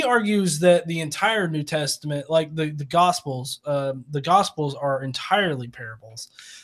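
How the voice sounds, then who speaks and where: A man speaks in a strong Southern US accent with lively intonation. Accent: deep Southern US. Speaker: atheist YouTuber. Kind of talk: casual chat. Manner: halting, many fillers.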